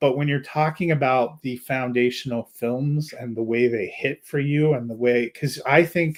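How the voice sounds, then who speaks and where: With an ordinary speaking voice, a man talks at a moderate pace and medium pitch, his intonation fairly even and hardly any pauses in between. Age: 40s. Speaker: film reviewer, podcast co-host. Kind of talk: casual chat. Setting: live stream.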